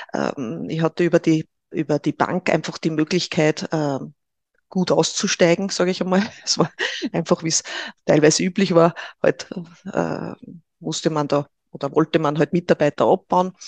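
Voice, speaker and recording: A woman speaks at a moderate pace with fairly low pitch, vocal fry and fairly even intonation, leaving long, frequent pauses. The sound is dry and close, with no echo. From Upper Austria (Linz). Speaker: Human Design trainer. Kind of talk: interview.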